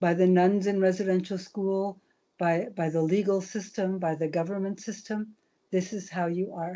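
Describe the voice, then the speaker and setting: At a moderate pace, a woman speaks in a medium-pitched, monotone, flat voice against a quiet background. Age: 70s. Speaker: elder and residential school survivor. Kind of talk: teaching talk on video call.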